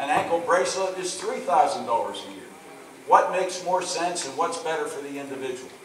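The voice has ordinary pitch variation. Audible room echo and light background noise are present. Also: man. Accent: American. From western Pennsylvania. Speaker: state auditor running for governor; candidate. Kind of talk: political candidate forum. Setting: auditorium with audience. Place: hall. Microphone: pa.

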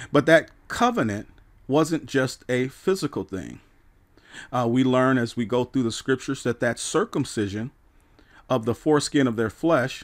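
In a very clean recording with a silent background, a man talks at a moderate pace. He has an unremarkable speaking voice, medium in pitch, with ordinary pitch variation. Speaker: pastor and radio Bible teacher. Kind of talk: radio Bible preaching.

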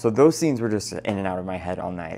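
Over light background noise, a man speaks at a fairly low pitch with ordinary pitch variation. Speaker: travel reporter. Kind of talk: casual vlog chat. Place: home room. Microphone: lapel.

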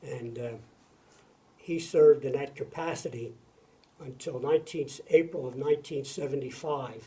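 With big swings in loudness and fairly even intonation, a man speaks at a very slow pace, leaving long, frequent pauses. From Philadelphia, US. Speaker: retired judge. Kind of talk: oral history interview. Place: office.

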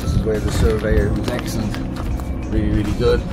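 A man talking at a fairly quick pace over loud background music. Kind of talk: casual vlog walkthrough.

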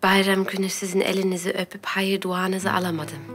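Faint music plays in the background while the speech moves at a moderate pace. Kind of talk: scripted drama dialogue. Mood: polite, deferential. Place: home room.

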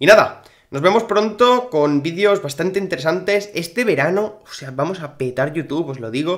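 Spoken in a Spanish accent at a moderate pace, the voice has an animated tone, lively intonation and big swings in loudness. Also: man, high pitch for a man. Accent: Spain Spanish. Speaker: gaming youtuber. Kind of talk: casual gaming commentary.

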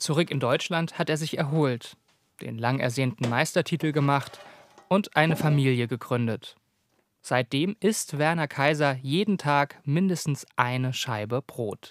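In a plain, everyday voice, a man speaks fairly slowly with a fairly high pitch and ordinary pitch variation, the sound dry and close with no echo. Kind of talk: TV documentary narration.

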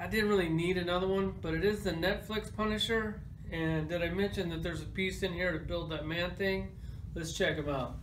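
A man talks at a fairly quick pace in a high pitch. His intonation is fairly even, with light background noise behind him. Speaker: toy collector reviewer. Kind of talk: casual toy review chat. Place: home room.

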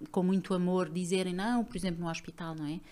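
Speaking at a fairly quick pace, the woman keeps her delivery brisk. Her intonation is monotone, flat. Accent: European Portuguese. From Portugal. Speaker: psychogenealogy trainer, former lawyer. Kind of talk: interview. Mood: earnest, reflective. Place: studio. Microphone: studio mic.

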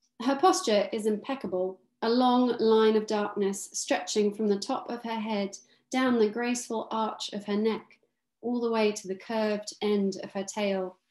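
Speaking at a moderate pace, a woman with a fairly high pitch and ordinary pitch variation is heard against a quiet background with audible room echo. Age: 30s. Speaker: author. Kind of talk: book launch conversation with reading aloud. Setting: video call from her kitchen. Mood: calm, dreamy, evocative. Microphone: webcam.

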